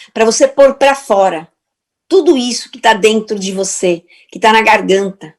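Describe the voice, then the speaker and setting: A woman's fairly high-pitched voice at a fairly slow pace, a normal speaking voice. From Portugal. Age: 60s. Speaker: therapist and speaker. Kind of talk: motivational talk.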